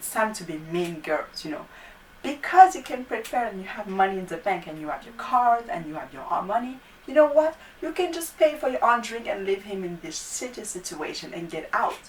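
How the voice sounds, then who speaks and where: Someone with a non-native accent talks at a fairly quick pace with very wide pitch swings and big swings in loudness. Noticeable background noise sits behind the voice. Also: woman, fairly high pitch for a woman. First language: not English. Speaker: YouTube talk show host. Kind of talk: casual talk to camera.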